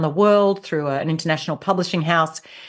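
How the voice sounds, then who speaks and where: In an Australian accent, a woman speaks at a fairly low pitch with ordinary pitch variation. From rural Australia. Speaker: leadership coach and author. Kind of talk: interview.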